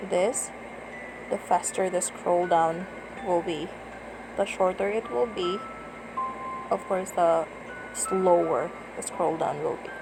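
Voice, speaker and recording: A quiet woman's voice at a very slow pace, with long, frequent pauses, ordinary pitch variation and music in the background. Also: medium pitch for a woman. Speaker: tutorial vlogger. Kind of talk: screen-recorded app tutorial. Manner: lowered, quiet voice.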